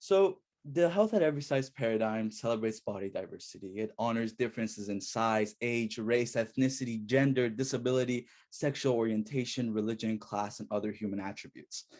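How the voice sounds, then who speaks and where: On a very clean recording with a silent background, a man with an Iranian accent speaks at a fairly quick pace, his medium pitch showing ordinary variation. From Iran, moved to US at 9. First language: Farsi. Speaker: student researcher. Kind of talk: academic presentation.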